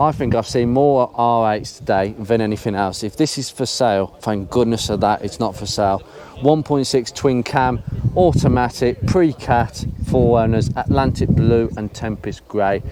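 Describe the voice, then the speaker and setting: Noticeable background noise behind a man at medium pitch, moderate pace, and ordinary pitch variation. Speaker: car enthusiast YouTuber. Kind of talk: casual commentary walking around a car show.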